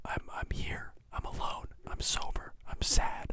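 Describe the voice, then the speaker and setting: The speaker is a man. A dark, mellow tone colors his voice. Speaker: podcast host. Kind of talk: casual monologue. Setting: home recording in bedroom. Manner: halting, many fillers.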